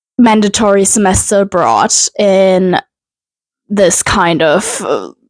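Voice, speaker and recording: Very slow speech from a woman, medium in pitch. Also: dry, close sound with no echo. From Germany (Cologne). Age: 20s. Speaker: lifestyle vlogger. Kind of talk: casual personal vlog. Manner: hesitant, many fillers.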